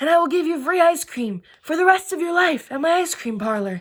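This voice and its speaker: A woman puts on a character voice with an extremely high pitch. She talks at a fairly quick pace. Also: lively intonation. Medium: read story.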